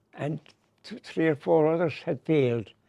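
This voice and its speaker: Recorded dry and close with no echo, a man with a Limerick accent speaks at a moderate pace. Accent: Limerick Irish. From Ireland, Limerick. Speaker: comedian. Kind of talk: interview. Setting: hotel. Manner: halting.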